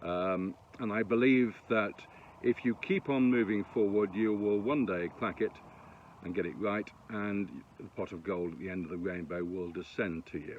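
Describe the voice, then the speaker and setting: A man with an English accent, fairly low in pitch, at a moderate pace and with ordinary pitch variation. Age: 60s. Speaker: former financial advisor and aspiring musician. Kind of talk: self-recorded audition monologue. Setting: self-tape recording.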